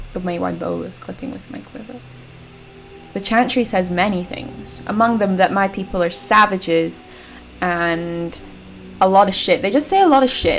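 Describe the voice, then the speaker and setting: Woman at a moderate pace, with big swings in loudness, long, frequent pauses and noticeable background noise. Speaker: gaming let's play creator. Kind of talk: casual gameplay commentary.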